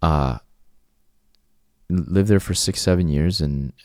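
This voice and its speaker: A man's dark, mellow tone in a Cantonese accent, fairly slow in pace, with ordinary pitch variation. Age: 40s. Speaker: channel host sharing life story. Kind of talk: personal monologue. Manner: halting, many repeated words.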